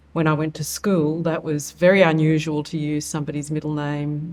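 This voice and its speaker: Her intonation is monotone and flat as a woman with an Australian accent and a very deep, low pitch talks at a moderate pace. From Australia, Wollongong. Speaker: nonprofit CEO. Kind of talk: interview.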